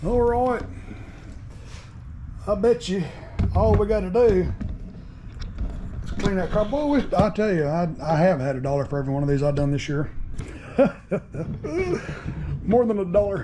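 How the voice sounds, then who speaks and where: Over noticeable background noise, a man with a high pitch speaks with long, frequent pauses. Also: moderate pace. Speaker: small engine repair vlogger. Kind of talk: casual vlog chat. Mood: cheerful, joking. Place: garage. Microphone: phone near.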